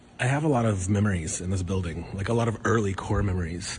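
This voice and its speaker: Noticeable background noise behind a male voice of ordinary pitch variation. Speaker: comedian. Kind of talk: casual talk to camera.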